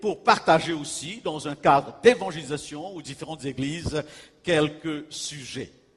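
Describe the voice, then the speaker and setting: A man with an ordinary speaking voice, fairly high pitch and a fairly slow pace. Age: 60s. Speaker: pastor and evangelist. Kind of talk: sermon. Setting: church.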